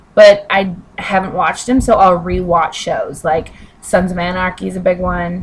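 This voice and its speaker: Against noticeable background noise, a woman of medium pitch talks at a moderate pace with fairly even intonation. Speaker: vlogger. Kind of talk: casual chat. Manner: halting.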